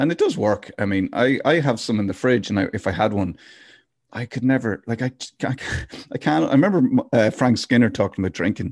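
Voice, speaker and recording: Lively intonation carries through a very clean recording with a silent background and a dry, close sound with no echo. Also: man, medium pitch for a man, fairly quick pace. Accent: Irish. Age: 40s. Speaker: podcast host. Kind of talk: casual chat. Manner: laughs often.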